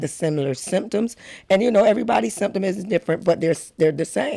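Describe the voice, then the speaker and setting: A loud woman at a very fast pace, with a dark, mellow tone and very wide pitch swings. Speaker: advocate sharing personal health story.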